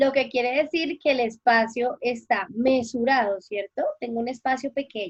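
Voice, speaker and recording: This woman's voice is high-pitched, with ordinary pitch variation. She speaks at a fairly slow pace. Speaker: teacher. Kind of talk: interview.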